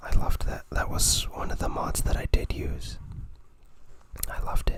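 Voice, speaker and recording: With noticeable noise behind it, a whisper moves along at a moderate speed. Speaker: ASMR creator. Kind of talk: ASMR show-and-tell of an art book. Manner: whispered.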